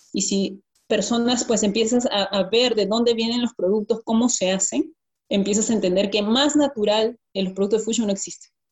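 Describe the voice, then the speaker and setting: Her voice somewhat breathy, a woman speaks at a fairly high pitch with fairly even intonation. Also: moderate pace. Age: 20s. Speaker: network marketing distributor. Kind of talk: testimony.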